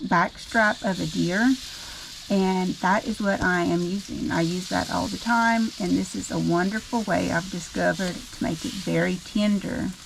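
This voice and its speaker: A woman talks at a fairly slow pace with a Louisiana accent. Noticeable background noise runs behind her. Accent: Southern US, Louisiana. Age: 50s. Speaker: home cook, cooking channel host. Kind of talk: cooking tutorial. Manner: casual, with frequent filler um.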